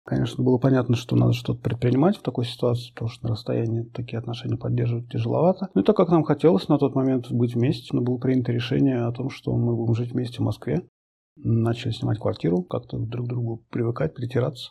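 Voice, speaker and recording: Vocal fry marks a man's speech at a very fast pace. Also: medium pitch for a man, ordinary pitch variation. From Moscow, Russia. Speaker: sports journalist. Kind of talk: personal testimony.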